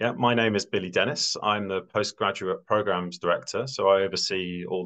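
An ordinary speaking voice from a man, fairly low in pitch with ordinary pitch variation, over a quiet background. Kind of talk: presentation to prospective students. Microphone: webcam.

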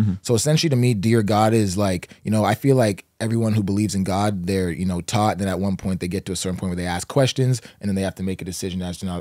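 A man with a fairly low pitch talks very fast, with hardly any pauses and ordinary pitch variation. The background is quiet and the sound is dry, with no echo. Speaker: podcast guest. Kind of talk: interview answer. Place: studio. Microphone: studio mic.

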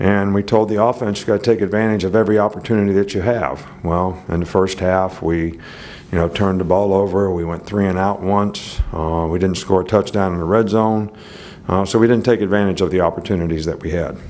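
At a fairly quick pace, a man with a very deep, low pitch speaks with fairly even intonation. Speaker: head football coach. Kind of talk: press conference answer. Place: hall. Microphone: podium.

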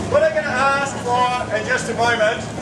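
Loud background noise around a man speaking at a moderate pace. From New Zealand, Wellington. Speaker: street performer. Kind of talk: street show patter to a crowd. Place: street. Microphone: camera far.

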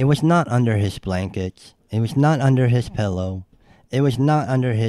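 Lively intonation in an unforced reading voice

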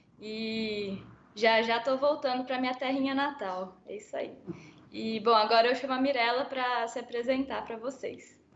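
Her pitch is high and her intonation fairly even as this woman speaks. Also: moderate pace. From Brazil. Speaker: production engineer; panelist. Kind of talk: panel discussion. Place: home room. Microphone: video call.

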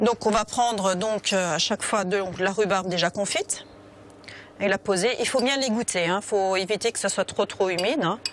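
A woman with a plain, everyday voice at medium pitch and a moderate pace, dry sound with no echo, and light background noise. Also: ordinary pitch variation, very even loudness. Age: 40s. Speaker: restaurant owner and cook. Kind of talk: cooking demonstration. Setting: restaurant kitchen. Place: kitchen.

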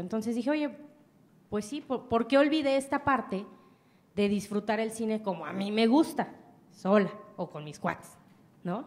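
Speaking at a moderate pace, a woman sounds animated, her fairly high voice carrying lively intonation broken by long, frequent pauses. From Mexico. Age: 20s. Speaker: entrepreneur; speaker. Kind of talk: motivational talk. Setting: stage with audience. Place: hall. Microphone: handheld.

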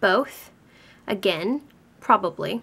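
At a very slow pace, a woman with a Canadian accent speaks in a fairly high pitch with lively intonation. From Vancouver, Canada. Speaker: beauty vlogger. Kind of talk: casual talk to camera. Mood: relaxed, playful. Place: home room.

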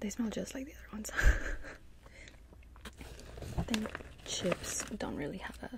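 Amid loud background noise, a soft-spoken woman talks at a fairly slow pace in a dry sound with no echo. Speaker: snack reviewer. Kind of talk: casual vlog chat. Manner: soft close-mic ASMR voice. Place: home room. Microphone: studio mic.

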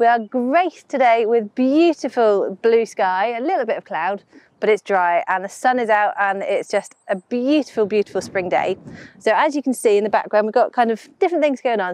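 A woman talks at a fairly quick pace, recorded with a dry sound and no echo. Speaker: presenter. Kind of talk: casual vlog chat. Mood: cheerful, enthusiastic.

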